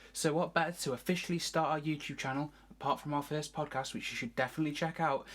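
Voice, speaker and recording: A British accent on a very clean recording with a silent background. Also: woman. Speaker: arts video presenter. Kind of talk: scripted presentation.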